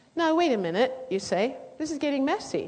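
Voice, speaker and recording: A woman with a British accent talks with very wide pitch swings. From Britain. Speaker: literature professor. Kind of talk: lecture.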